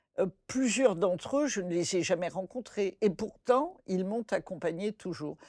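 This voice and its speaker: With an ordinary speaking voice at medium pitch, a woman speaks at a fairly slow pace with hardly any pauses and lively intonation, recorded dry and close with no echo, very clean against a silent background. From French West Africa (born Bamako, Mali). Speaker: folktale scholar. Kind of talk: interview conversation.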